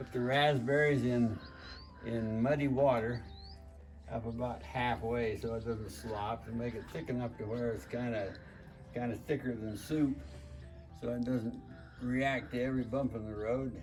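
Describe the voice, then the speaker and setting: A man's medium-pitched voice with ordinary pitch variation, a moderate pace and long, frequent pauses, with music in the background. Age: 80s+. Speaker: farmer. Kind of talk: casual instructional talk to camera.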